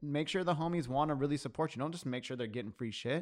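At a very fast pace, a man of medium pitch speaks with ordinary pitch variation against a quiet background. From US, Mexican-American family. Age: 30s. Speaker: coffee professional. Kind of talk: casual chat.

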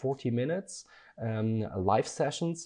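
A man with a dark, mellow tone speaks fairly slowly at a medium pitch. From Germany. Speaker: design educator. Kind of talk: interview. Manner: hesitant, many fillers.

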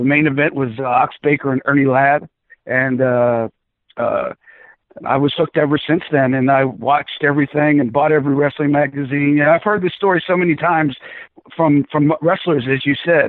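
A man with a fairly high pitch and an unremarkable speaking voice talks at a fairly quick pace, keeping fairly even intonation and very even loudness. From South Florida, born in the Bronx. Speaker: wrestling ring announcer. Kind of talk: casual interview chat.

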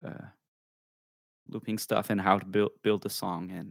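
With a Quebec French accent, a man speaks at a moderate pace in a dry, close sound with no echo. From Quebec, Canada. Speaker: musician and streamer. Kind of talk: interview. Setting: video call. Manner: halting.

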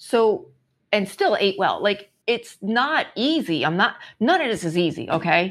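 A woman with a New York accent, medium in pitch and fairly slow, with very wide pitch swings, very even loudness, and a very clean recording with a silent background. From New York City. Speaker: entrepreneur and wellness coach. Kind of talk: casual interview chat.

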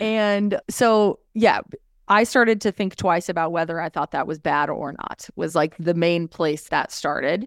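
This woman has an unremarkable speaking voice and an American accent, with a fairly low pitch, ordinary pitch variation and a fairly slow pace, heard in a dry, close sound with no echo. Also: very clean recording, silent background. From California, Orange County. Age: 30s. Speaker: podcaster. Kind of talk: casual chat.

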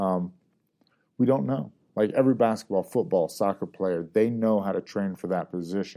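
This man has a fairly low pitch and a dark, mellow tone, speaking at a moderate pace with an American accent and ordinary pitch variation over a very clean recording and silent background. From US South, Georgia. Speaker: UFC fighter. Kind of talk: casual interview chat.

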